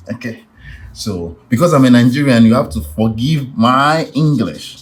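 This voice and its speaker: A man's medium-pitched, somewhat breathy voice at a fairly slow pace, with very wide pitch swings. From Nigeria. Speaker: art tutor. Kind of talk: tutorial.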